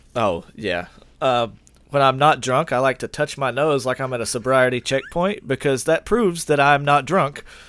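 With an ordinary speaking voice, a man talks at a moderate pace and a medium pitch, using ordinary pitch variation. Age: 30s. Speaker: podcast co-host. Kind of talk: casual chat.

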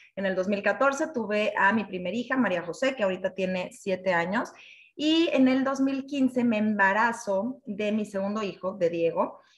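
Speaking at a fairly slow pace, a woman uses a fairly high pitch with ordinary variation, with noticeable background noise behind her. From Mexico City. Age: 30s. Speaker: network marketing team leader. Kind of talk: personal testimony presentation. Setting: online live session.

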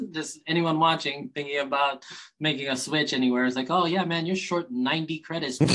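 A man talks at a moderate pace with a bright, sharp tone. His pitch sits fairly high. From Hawaii (Kauai). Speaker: chiropractor. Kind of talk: casual interview chat. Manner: animated, upbeat; hesitant with fillers and repeated words.

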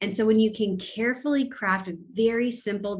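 This voice belongs to a woman, somewhat breathy in quality. She talks with an American accent. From California, US. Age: 30s. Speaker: pastor. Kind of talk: casual interview conversation.

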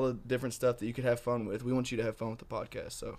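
The recording is very clean, with a silent background. A man talks in a flat, monotone way at medium pitch. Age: 20s. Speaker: college student, podcast social media helper. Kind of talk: casual chat.

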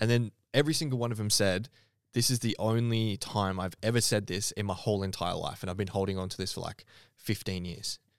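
On a very clean recording with a silent background, a man with an Australian accent speaks fairly quickly at a fairly low pitch, with ordinary pitch variation. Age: 30s. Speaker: podcast host and fitness coach. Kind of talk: casual chat.

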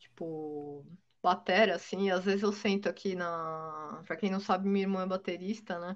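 In an ordinary speaking voice, a woman talks at a moderate pace and medium pitch with fairly even intonation against a quiet background. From Brazil, São Paulo state. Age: 40s. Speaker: blues guitarist. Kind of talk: casual interview chat.

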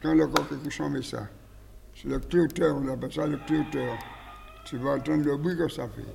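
Noticeable background noise is present throughout. A man talks with long, frequent pauses. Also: moderate pace. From French Antilles. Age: 80s+. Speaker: cockfighting breeder. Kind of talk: casual interview.

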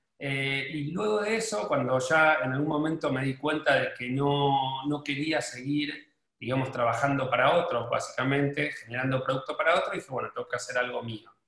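A man with a Rioplatense accent speaks at a fairly high pitch with ordinary pitch variation. His pace is moderate, with hardly any pauses. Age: 40s. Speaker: fashion brand owner. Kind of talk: interview.

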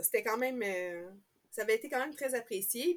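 Speaking at a fairly quick pace in a Quebec accent, a woman uses a fairly high pitch. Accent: Québécois French. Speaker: knitting podcaster. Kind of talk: casual chat.

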